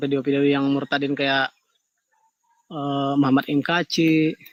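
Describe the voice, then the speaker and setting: A man speaks slowly in a fairly high pitch with flat, monotone intonation. The sound is dry and close, with no echo. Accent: Kalimantan. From Kalimantan, Indonesia. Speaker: caller. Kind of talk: live call-in discussion.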